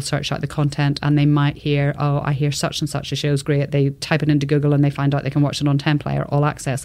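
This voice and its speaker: Talking at a very fast pace, a woman has a very deep, low pitch and a dark, mellow tone. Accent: Irish. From Northern Ireland. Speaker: television executive. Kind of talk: interview.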